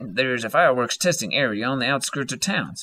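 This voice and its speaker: Putting on a gravelly character voice, a man speaks very fast at a medium pitch. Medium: read story. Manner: flat, terse.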